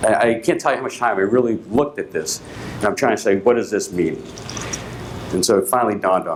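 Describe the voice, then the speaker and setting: Someone with an American accent talks very fast, swinging widely in pitch. There is audible room echo and noticeable background noise. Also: man. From Boston, Massachusetts. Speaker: company executive. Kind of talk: conference keynote. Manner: hesitant, many fillers.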